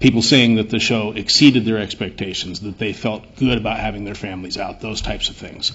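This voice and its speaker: A man's fairly low voice at a fairly quick pace, with fairly even intonation and hardly any pauses. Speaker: event organizer. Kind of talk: public comment. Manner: loud.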